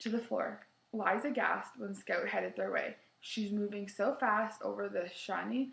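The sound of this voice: Here the speaker reads in an unforced reading voice.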